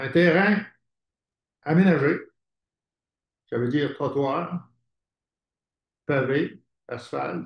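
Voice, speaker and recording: Very slow speech in a Quebec accent, with vocal fry, ordinary pitch variation and long, frequent pauses. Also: man. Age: 80s+. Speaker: housing cooperative founder. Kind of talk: conference talk. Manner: halting.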